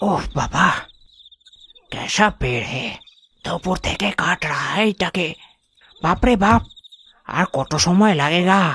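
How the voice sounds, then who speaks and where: Using a cartoonish character voice, a man speaks high and fairly slowly, with long, frequent pauses. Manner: rustic, simple.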